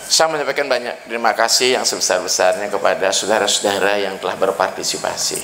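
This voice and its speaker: A man rattles along very fast with hardly any pauses, under an audible room echo and noticeable background noise. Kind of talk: dharma talk at ceremony. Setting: evening ceremony with audience. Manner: formal.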